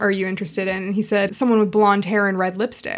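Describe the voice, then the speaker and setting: Speaking very fast at a medium pitch, a woman talks with a Pacific Northwest accent. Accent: American, Pacific Northwest. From Seattle, US Pacific Northwest. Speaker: sex shop owner and wedding celebrant. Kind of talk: casual chat. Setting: studio.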